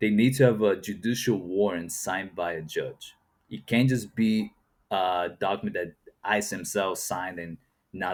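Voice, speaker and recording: A man with a Portuguese accent and fairly low pitch, at a moderate pace, on a very clean recording with a silent background. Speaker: YouTube reaction commentator. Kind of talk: reaction commentary. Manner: casual, conversational with fillers.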